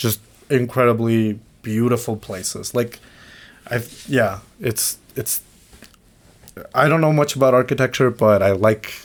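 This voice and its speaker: A man with a Mexican accent speaks at a fairly slow pace. His intonation is fairly even, with long, frequent pauses. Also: medium pitch for a man. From Mexico. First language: Spanish. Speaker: podcast co-host. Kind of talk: casual chat. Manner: halting.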